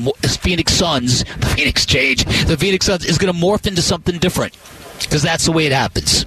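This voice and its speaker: The voice holds a very even loudness, with music in the background. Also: man. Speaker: radio sports host. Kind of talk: scripted opinion rant read as a 'Blast' commentary. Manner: punchy, sarcastic, emphatic.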